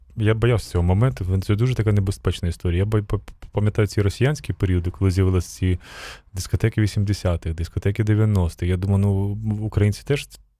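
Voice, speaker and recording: Somewhat breathy and dark, mellow in tone, a man's fairly low voice moves at a fairly quick pace with ordinary pitch variation and very even loudness. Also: very clean recording, silent background. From Ukraine. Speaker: radio host. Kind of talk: casual interview. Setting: live radio broadcast at a festival.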